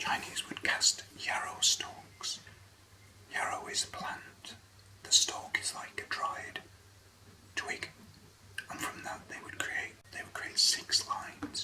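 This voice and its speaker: At a very slow pace, a whispering voice leaves long, frequent pauses while noticeable background noise runs underneath. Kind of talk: ASMR whisper reading. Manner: whispered.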